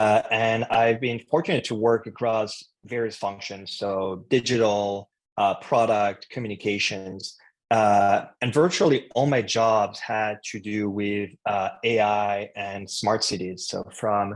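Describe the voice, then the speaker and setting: A man's fairly low, fairly even voice in a French accent, very slow in pace yet with hardly any pauses. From France. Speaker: head of marketing at a tech company. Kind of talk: interview. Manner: hesitant, many fillers.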